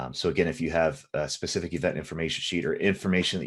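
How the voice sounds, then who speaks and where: A man with a very deep, low voice and lively intonation, talking very fast against a quiet background. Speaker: software trainer. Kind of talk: live tutorial.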